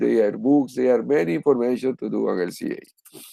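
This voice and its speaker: At a fairly slow pace, a man with a Spanish accent speaks at medium pitch. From Spanish-speaking country. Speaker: professor. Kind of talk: lecture. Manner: halting.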